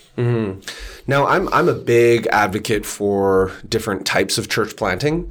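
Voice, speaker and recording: A man with a Canadian accent has an unremarkable speaking voice, fairly low in pitch, at a moderate pace. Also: ordinary pitch variation. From Canada. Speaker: church researcher and author. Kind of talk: casual interview chat.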